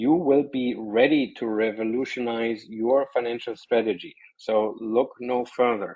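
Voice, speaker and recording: A man with a German accent talks at a fairly slow pace. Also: medium pitch for a man, fairly even intonation, hardly any pauses. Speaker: software company presenter. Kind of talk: webinar presentation.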